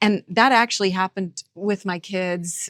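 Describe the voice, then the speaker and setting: A woman with an unremarkable speaking voice at medium pitch comes through in a dry, close sound with no echo on a very clean recording with a silent background. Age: 50s. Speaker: musician and radio veteran. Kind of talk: podcast interview.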